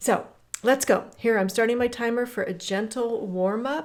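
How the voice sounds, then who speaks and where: On a very clean recording with a silent background, a woman with a plain, everyday voice speaks at a fairly slow pace with ordinary pitch variation. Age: 60s. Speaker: fitness coach. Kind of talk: guided workout walk talk. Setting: outdoors on a hiking trail. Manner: casual, encouraging.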